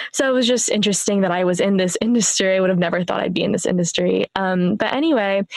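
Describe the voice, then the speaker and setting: A woman speaks at a very fast pace with an American accent, hardly pausing at all. Her loudness stays very even, and there is noticeable background noise. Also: medium pitch for a woman, ordinary pitch variation. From US Midwest, Warren, Northeast Ohio. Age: 20s. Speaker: sales engineer, podcaster, coaching client. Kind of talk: podcast interview.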